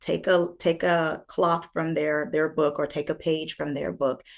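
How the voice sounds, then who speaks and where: A woman's fairly low voice in an American accent, with vocal fry. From United States. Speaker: life coach and speaker. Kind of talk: interview answer. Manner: energetic, upbeat.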